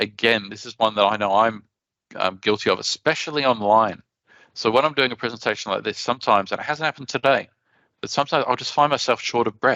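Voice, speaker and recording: A man with an Australian accent, medium pitch and ordinary pitch variation, bright, sharp tone and very fast pace, dry, close sound with no echo against a quiet background. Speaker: conference speaker. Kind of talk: conference presentation.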